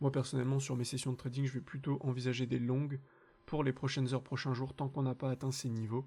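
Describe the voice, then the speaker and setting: Very fast and monotone, a man talks at a medium pitch with a dark, mellow, somewhat breathy tone and very even loudness. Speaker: crypto trading analyst, channel host. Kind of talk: market analysis tutorial.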